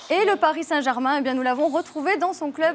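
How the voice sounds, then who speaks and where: A woman's high voice with a Toulouse accent and ordinary pitch variation, with music in the background. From Toulouse, southern France. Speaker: football TV presenter. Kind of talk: TV show segment.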